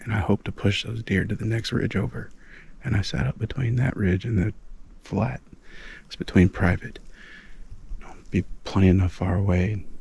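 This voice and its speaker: A man with an American accent speaks quietly at a fairly low pitch, with vocal fry, ordinary pitch variation, and long, frequent pauses. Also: moderate pace. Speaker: hunter. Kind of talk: hunting vlog narration. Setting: outdoors in the woods. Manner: quiet, hushed talk.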